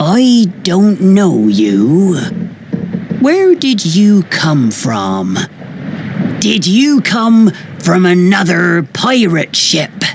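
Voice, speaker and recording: A put-on character voice speaks at a middle pitch and a very slow pace. There is clear background noise. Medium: read story. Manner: loud, gruff, shouting.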